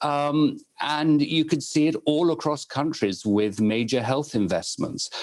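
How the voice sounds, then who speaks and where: Against a quiet background, a man in a British accent speaks at a fairly slow pace with very wide pitch swings. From United Kingdom. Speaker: moderator. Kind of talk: panel discussion. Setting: webinar.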